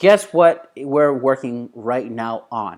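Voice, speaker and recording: A man speaks with a non-native accent at a fairly high pitch. His tone is animated, with lively intonation. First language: not English. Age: adult. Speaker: business coach. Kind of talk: online course lecture. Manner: casual, animated.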